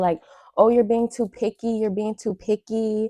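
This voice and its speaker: Woman with a dark, mellow tone at a fairly quick pace, dry, close sound with no echo, very clean recording and silent background. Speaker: YouTuber reacting to videos. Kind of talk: casual reaction commentary. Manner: fast.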